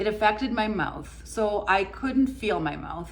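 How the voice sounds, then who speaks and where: Audible room echo surrounds a voice at a moderate pace with ordinary pitch variation. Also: woman. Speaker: lifestyle vlogger, former corporate worker. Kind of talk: personal testimony vlog. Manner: occasional stumbles, tripping over words.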